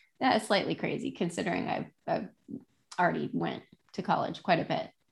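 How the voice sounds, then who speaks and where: A woman with vocal fry at a moderate pace. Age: 30s. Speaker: real estate agent and podcast host. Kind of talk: casual solo monologue. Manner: halting, many fillers.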